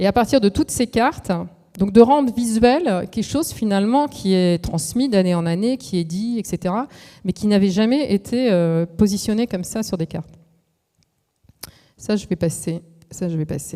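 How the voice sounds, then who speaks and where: Dark and mellow in tone, a woman speaks at a moderate pace and medium pitch. Her intonation is lively, with long, frequent pauses. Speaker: architect giving a talk. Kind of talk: lecture.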